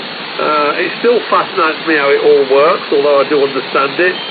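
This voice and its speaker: Through noticeable background noise and audible room echo, a man talks with hardly any pauses, very even loudness and ordinary pitch variation. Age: 50s. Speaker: amateur radio operator. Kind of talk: radio contact chat. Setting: amateur radio transmission. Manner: hesitant, many fillers.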